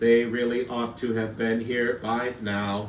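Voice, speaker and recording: At a fairly slow pace, a man does a put-on character voice at a medium pitch, with clear background noise behind him. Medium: read story. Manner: stiff and formal.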